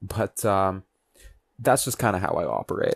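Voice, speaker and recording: The recording is very clean with a silent background, and a man talks at a moderate tempo. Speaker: podcast host. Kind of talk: podcast monologue. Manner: hesitant pauses.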